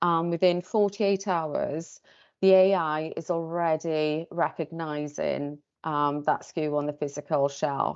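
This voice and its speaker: With a Welsh accent, the speaker goes at a fairly slow pace with fairly even intonation. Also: woman, very deep, low pitch for a woman. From Wales. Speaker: tech company sales presenter. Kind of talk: pitch presentation. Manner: hesitant, many fillers.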